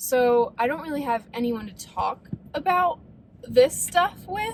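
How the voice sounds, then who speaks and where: A woman with an American accent and a high pitch speaks at a fairly slow pace, her voice moving in very wide pitch swings. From US Midwest, Ohio (Defiance). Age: 20s. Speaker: vlogger. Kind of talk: casual vlog talk.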